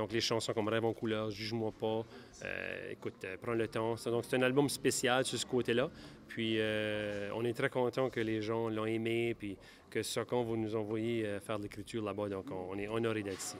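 Over light background noise, a man talks at a moderate pace in a monotone, flat intonation. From Acadia, New Brunswick. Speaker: country singer-songwriter. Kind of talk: interview. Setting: awards gala. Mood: grateful, upbeat. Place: hall. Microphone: handheld.

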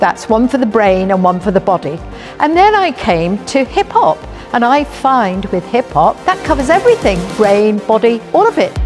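Over clear music in the background, a woman talks with very wide pitch swings. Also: moderate pace. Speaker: hip hop dancer. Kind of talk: interview answer. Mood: warm, delighted. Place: hall.

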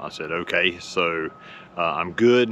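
A man speaks at a very slow pace with ordinary pitch variation, the sound dry with no echo and light background noise behind him. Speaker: motorcycle owner vlogger. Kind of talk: casual vlog chat. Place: street. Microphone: lapel.

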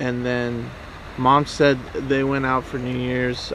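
A man is speaking. The sound is dry with no echo, over light background noise. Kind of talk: interview answer. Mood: calm, somewhat somber. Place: waterside. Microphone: camera far.

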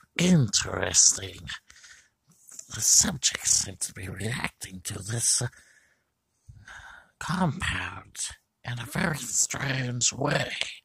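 Putting on a character voice, a man at medium pitch talks at a very slow pace with long, frequent pauses.

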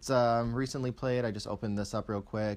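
At a fairly quick pace, a man with medium pitch talks in a plain, everyday voice. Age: 20s. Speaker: YouTuber. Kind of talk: tech review. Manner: casual.

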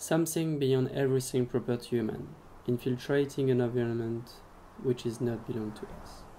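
With a French accent, a man speaks fairly quickly at a medium pitch in a dark, mellow tone, his intonation fairly even while his loudness swings widely. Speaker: filmmaker. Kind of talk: travel film voice-over narration.

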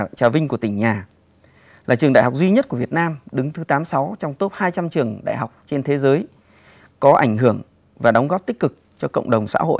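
Lively, fairly quick speech from a man with a fairly high voice, over a quiet background. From Cao Bằng, northern Vietnam; northern Vietnam. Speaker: parliamentary candidate, professor; candidate, professor. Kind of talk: campaign speech. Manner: formal. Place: studio.

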